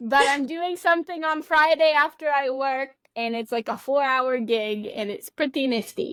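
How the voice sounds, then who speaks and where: Lively intonation at a moderate pace, with hardly any pauses. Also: woman, high pitch for a woman. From Texas. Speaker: podcast co-host. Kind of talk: casual chat.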